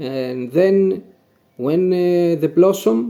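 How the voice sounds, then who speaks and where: A man's fairly high voice at a very slow pace. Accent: Greek. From Greece (Macedonia region, near Pella/Vergina). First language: Greek. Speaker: cherry farmer. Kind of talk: Q&A, casual explanation. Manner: halting, with fillers and self-corrections.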